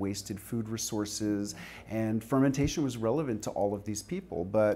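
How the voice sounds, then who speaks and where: A man with an American accent speaks at a moderate pace, his fairly low voice dark and mellow in tone. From New York City. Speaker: author and fermentation teacher; fermentation teacher. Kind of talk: interview. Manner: hesitant, many fillers. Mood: relaxed, friendly. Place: studio. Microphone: lapel.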